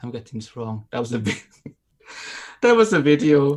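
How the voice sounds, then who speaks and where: A man of medium pitch with a German accent. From Austria, Innsbruck. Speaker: aviation YouTuber. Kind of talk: casual chat. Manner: halting, many fillers.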